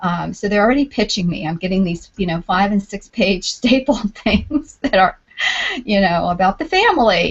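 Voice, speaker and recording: A woman with a New York accent speaks at a moderate pace and medium pitch, her intonation lively. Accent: New York accent, clear. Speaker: homeschooling panelist. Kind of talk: panel discussion.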